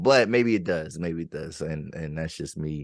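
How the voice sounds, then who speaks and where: Moderate pace, with an American accent. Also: man. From Pennsylvania, 717 area. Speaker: podcast host. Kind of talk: casual interview.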